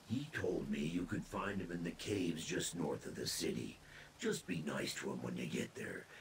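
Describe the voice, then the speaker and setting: A man puts on a character voice with a very deep, low pitch, speaking at a moderate pace over clear background noise. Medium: video game. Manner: casual, wisecracking.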